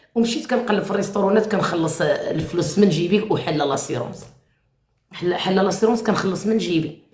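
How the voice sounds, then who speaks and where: A woman with a medium pitch sounds animated, using lively intonation amid audible room echo. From Morocco. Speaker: live-stream host. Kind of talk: live chat with callers.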